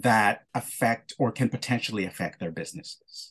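Vocal fry in a man's voice against a quiet background. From Philippines. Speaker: podcast host. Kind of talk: interview. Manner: halting.

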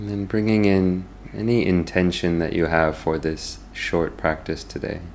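A man's very deep, low voice with a soothing tone and ordinary pitch variation. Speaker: podcast host and meditation guide. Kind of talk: guided meditation. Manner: slow, soothing, gently paced with long pauses; calm, soft-spoken.

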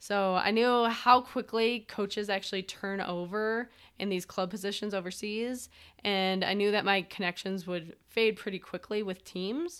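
With an American accent, a woman speaks in a normal speaking voice at medium pitch and a moderate pace, her intonation fairly even, on a very clean recording with a silent background. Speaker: podcast co-host, former pro field hockey player. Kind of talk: casual interview, telling her story.

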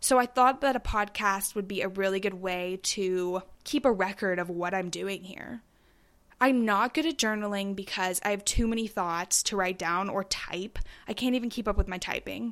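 Here a woman talks at a moderate pace, at medium pitch with ordinary pitch variation. The recording is very clean, the background silent. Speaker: podcast host. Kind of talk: solo podcast monologue, casual chat. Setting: home recording, alone. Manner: chatty, informal.

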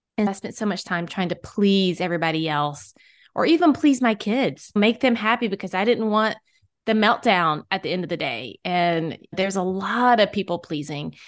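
A woman has an unremarkable speaking voice at a medium pitch, with lively intonation. She talks at a moderate pace against a quiet background. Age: 40s. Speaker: podcast host and author, mother. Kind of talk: casual chat.

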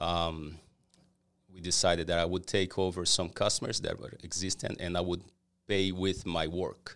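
In a very clean recording with a silent background, a man with a Portuguese accent speaks at a fairly slow pace in a very deep, low pitch. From Brazil. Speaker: cleaning company owner. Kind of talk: interview. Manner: halting.

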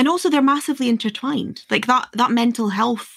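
A woman speaks with a Scottish accent. Her voice is somewhat breathy. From northeast Scotland. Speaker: podcast host. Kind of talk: interview.

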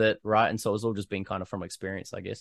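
In a New Zealand accent, a man at medium pitch speaks very fast, with a dry, close sound with no echo and a quiet background. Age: 30s. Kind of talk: casual interview chat.

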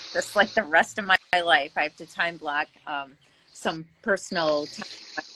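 A woman's bright, sharp, fairly low-pitched voice with an Upper Midwest accent, at a moderate pace with ordinary pitch variation. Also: big swings in loudness. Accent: Upper Midwest (Minnesota). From Minnesota, Brainerd Lakes area. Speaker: real estate agent. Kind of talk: casual chat. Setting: video call.

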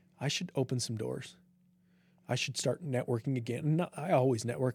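The speaker has an American accent and a dark, mellow tone that is somewhat breathy. The pace is fairly quick. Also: man. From Utah, US. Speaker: triathlete and medical administrator. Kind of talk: interview conversation. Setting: studio.

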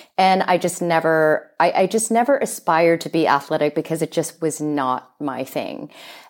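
A woman talks with hardly any pauses at a moderate pace in a plain, everyday voice. Her pitch is fairly low and her intonation lively. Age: 40s. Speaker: sports nutrition coach. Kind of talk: interview.

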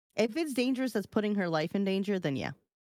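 A woman with an American accent speaks at a medium pitch with lively intonation, in an unremarkable speaking voice. The recording is very clean with a silent background, dry and close with no echo. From New York. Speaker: podcast co-host. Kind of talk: casual chat. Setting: live stream.

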